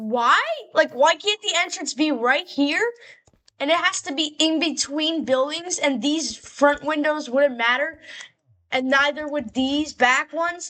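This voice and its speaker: A woman's raised, projected voice sounds bright and sharp, with a high pitch and an animated tone. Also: ordinary pitch variation, fairly slow pace. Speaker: gaming streamer. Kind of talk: casual gameplay commentary. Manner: casual, animated; stuttering, halting at times.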